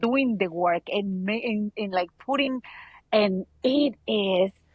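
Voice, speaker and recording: Her medium pitch and ordinary pitch variation come through as a woman speaks at a fairly slow pace. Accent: Mexican. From Mexico. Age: 30s. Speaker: abuse survivor. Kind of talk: casual interview.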